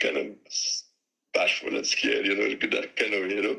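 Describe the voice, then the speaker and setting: This man talks with a Trinidadian accent. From Trinidad and Tobago. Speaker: steelpan musician and tuner. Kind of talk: interview. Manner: halting.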